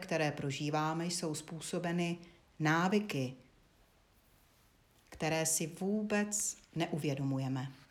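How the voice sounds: The woman's voice sits low in pitch. Its pitch varies in an ordinary way.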